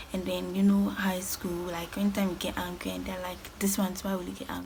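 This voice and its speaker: A woman talks at a fairly quick pace. Noticeable background noise and audible room echo are present. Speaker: lifestyle vlogger. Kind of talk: storytime vlog. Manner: fast.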